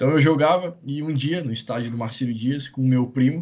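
A man speaks in a normal speaking voice at a fairly quick pace. His pitch is fairly high and his intonation fairly even. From Itajaí, Santa Catarina, southern Brazil. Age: 30s. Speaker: gaming YouTuber. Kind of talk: interview, casual chat.

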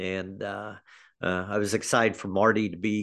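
With an American accent, a man talks at a moderate pace and fairly low pitch in a monotone, flat intonation over a quiet background. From US Midwest (Kansas City area). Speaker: high school athletic director. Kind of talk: interview. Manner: halting, with many fillers.

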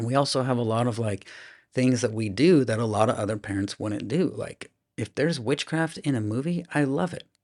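Against a quiet background, a man talks with a Midwestern US accent and ordinary pitch variation. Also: medium pitch for a man, fairly quick pace. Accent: General American, Midwestern. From US Midwest, Iowa (Des Moines). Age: 40s. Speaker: children's minister. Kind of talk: interview testimony. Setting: studio at a conference.

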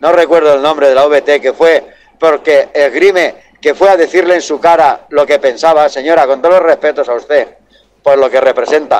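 A man speaks at a moderate pace with a fairly high pitch. His loudness is very even and his intonation fairly even. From Valencia, Spain. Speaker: truck driver calling a radio show. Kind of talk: phone-in call.

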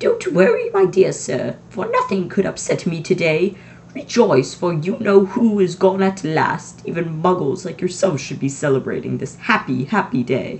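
Over clear background noise, a squeaky put-on character voice at middle pitch moves at a moderate pace. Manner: joyful, exuberant.

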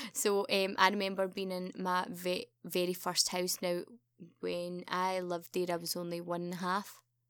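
On a very clean recording with a silent background, a woman talks in a Glaswegian accent. Her medium-pitched voice keeps a moderate pace with monotone, flat intonation. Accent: Glaswegian Scottish. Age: 30s. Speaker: podcast host's sister. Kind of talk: casual chat.

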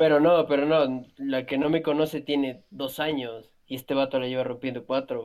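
A fairly high-pitched man speaks in a flat monotone at a moderate pace. He hardly pauses at all. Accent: Mexican. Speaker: podcast co-host. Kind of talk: casual chat.

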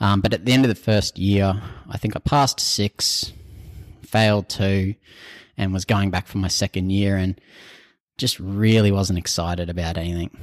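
With an Australian accent, a man speaks at a moderate pace in a fairly low pitch, with fairly even intonation and long, frequent pauses. The sound is dry and close with no echo, a very clean recording over a silent background. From North Queensland, Australia. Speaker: civil designer. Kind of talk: interview.

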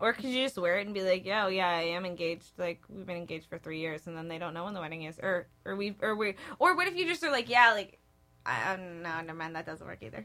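A woman speaks at a very fast pace with a medium pitch and ordinary pitch variation. Her loudness swings widely, and there is noticeable background noise. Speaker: podcast co-host, theater performance student. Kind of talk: casual chat. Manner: animated.

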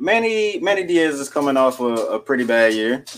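The delivery is a normal speaking voice at a fairly slow pace. Its intonation is lively. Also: man. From Arkansas, US South. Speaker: sports podcast co-host. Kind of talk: podcast interview.

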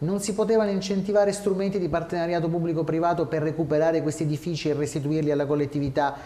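A high-pitched man at a very fast pace with hardly any pauses and fairly even intonation, over noticeable background noise. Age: 30s. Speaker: lawyer and regional election candidate. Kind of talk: interview. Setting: studio.

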